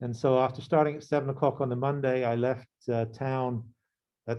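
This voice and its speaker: Fairly quick in pace, a man talks with a medium pitch and fairly even intonation. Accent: southern English. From England, near London. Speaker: professor. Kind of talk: lecture. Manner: halting.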